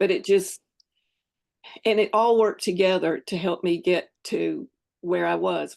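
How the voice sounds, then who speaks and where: A woman with a Southern US accent speaks at a medium pitch with vocal fry. She talks at a moderate pace against a quiet background. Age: 70s. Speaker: fitness program member sharing her journey. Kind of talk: casual interview.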